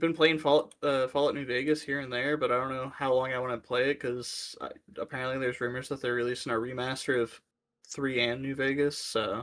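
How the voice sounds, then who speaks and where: With an American accent, the speaker moves at a fairly quick pace in a monotone, flat intonation. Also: man, medium pitch for a man. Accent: sounds Southern to some. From Ohio, US Midwest. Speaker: podcast co-host. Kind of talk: casual chat.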